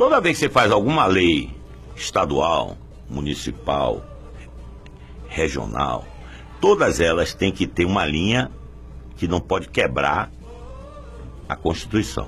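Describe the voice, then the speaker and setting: Music plays in the background as the speaker goes at a fairly slow pace, with long, frequent pauses. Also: man. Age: 60s. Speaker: football club leader, election candidate. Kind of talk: press statement. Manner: animated.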